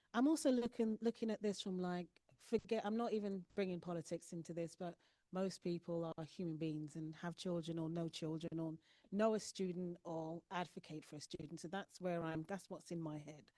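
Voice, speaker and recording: A woman with a London accent and a fairly low, dark, mellow voice speaks at a moderate pace with ordinary pitch variation, in a dry, close sound with no echo. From London, England. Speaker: school board trustee. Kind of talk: panel discussion.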